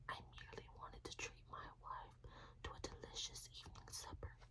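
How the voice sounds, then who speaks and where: A woman whispers at a very slow pace. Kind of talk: whispered fairytale reading for sleep. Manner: whispered.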